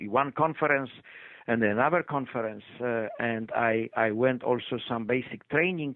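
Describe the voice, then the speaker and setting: Here a man speaks with a Polish accent. His pitch is medium and his pace moderate. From Poland. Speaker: retired physician. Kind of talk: interview. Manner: halting, many fillers.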